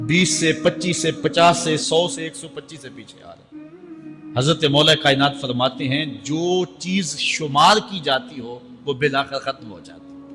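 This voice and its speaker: Music plays in the background as the voice shows ordinary pitch variation and big swings in loudness. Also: man, fairly high pitch for a man. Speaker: Islamic scholar giving a sermon. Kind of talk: religious sermon (bayan) delivered to a live audience. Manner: passionate, emphatic, oratorical.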